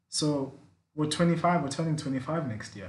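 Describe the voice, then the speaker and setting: With audible room echo around him, a man talks at a fairly slow pace in a fairly high pitch with ordinary pitch variation. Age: 20s. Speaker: podcast host. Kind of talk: casual chat.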